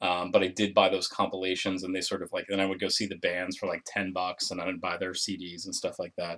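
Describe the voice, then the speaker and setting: A man's fairly low voice at a fairly quick pace, with fairly even intonation, on a very clean recording with a silent background. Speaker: vinyl record collector vlogger. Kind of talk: casual video review of records. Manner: fast; hesitant, many fillers.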